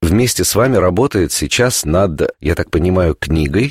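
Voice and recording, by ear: On a very clean recording with a silent background, a man talks at a moderate pace with a low pitch, a slightly husky edge and lively intonation.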